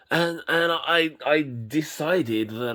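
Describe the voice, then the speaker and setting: A man with a British accent speaks in a bright, sharp tone. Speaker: YouTube collector reviewer. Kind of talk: casual product review vlog. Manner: halting, many fillers and repetitions.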